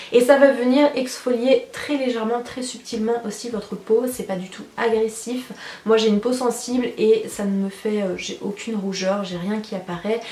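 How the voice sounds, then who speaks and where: With audible room echo and noticeable background noise, a woman of fairly high pitch talks at a moderate pace with fairly even intonation. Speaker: beauty youtuber. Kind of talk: product review vlog. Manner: chatty.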